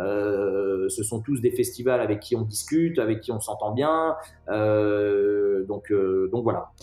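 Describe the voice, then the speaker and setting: Over music in the background, a man talks at a very slow pace in a fairly low pitch with ordinary pitch variation. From France, Nantes. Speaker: music festival founder and director. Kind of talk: interview. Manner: halting, many repetitions.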